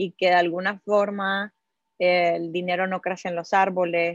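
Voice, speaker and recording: Recorded dry and close with no echo, a woman speaks at a medium pitch. She has a Venezuelan accent and a fairly slow pace. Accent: Venezuelan-sounding Spanish. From Cuba. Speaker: entrepreneur and investor. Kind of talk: interview.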